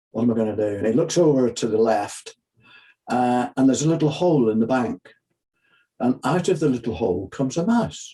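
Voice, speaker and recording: A man's dark, mellow tone at a fairly quick pace, with very even loudness throughout. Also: medium pitch for a man. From Northern Ireland, Belfast. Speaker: sports psychologist and children's book author. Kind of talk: interview; storytelling.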